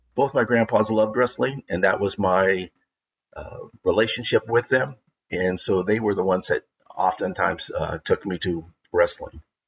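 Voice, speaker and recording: Here a man speaks with a West Coast accent. His pace is moderate. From Oregon, Portland area. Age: 60s. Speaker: wrestling historian and former TV announcer. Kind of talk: casual interview. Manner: halting, many fillers.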